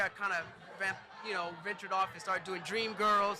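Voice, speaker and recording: Over noticeable background noise, a man with an American accent uses a raised, projected voice at a high pitch, talking at a fairly quick pace with monotone, flat intonation. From New Jersey. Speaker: choreographer and dance studio owner. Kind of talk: casual interview. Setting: live event day party.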